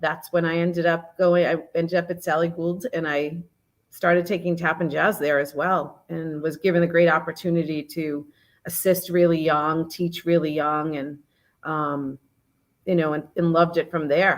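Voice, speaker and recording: A woman's fairly low, monotone, flat voice with an American accent at a moderate pace, in a very clean recording over a silent background. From Massachusetts. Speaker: dance studio owner. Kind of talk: casual chat.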